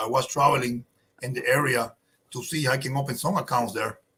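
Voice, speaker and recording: A man talks at a fairly quick pace with a Spanish accent. His voice is fairly high, with fairly even intonation. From Cuba. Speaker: cigar company owner. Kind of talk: casual interview chat.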